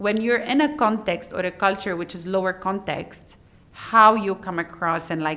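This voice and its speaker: Loud and bright, a woman speaks with a sharp tone and medium pitch. Her pitch variation is ordinary and her pace moderate. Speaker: HR director. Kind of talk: interview.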